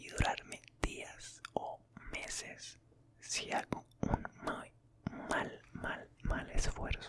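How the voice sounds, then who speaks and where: A man whispering at a very slow pace, with big swings in loudness and noticeable background noise. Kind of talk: ASMR storytime. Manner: soft-spoken, whispered.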